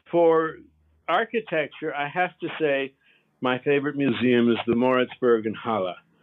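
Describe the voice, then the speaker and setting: With an American accent, a man speaks at a fairly slow pace in an ordinary speaking voice, with ordinary pitch variation. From United States. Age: 60s. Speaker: artist's grandson, audiobook narrator. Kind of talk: interview.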